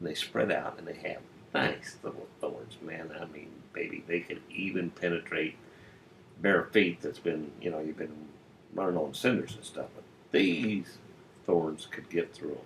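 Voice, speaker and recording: A man speaks at a fairly slow pace with big swings in loudness. Music plays in the background. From US Midwest, Illinois. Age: 70s. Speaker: retiree telling stories. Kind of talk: personal storytelling monologue. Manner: casual, folksy.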